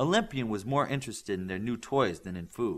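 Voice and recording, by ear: A man talks at a fairly quick pace with a fairly low pitch. His intonation is lively.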